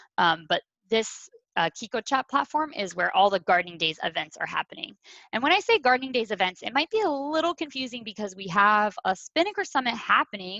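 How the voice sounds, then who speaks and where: The tone is bright and sharp, with very wide pitch swings. Delivery moves at a fairly quick pace. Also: woman, fairly high pitch for a woman, dry, close sound with no echo. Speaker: community event organizer. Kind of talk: online orientation presentation. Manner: fast.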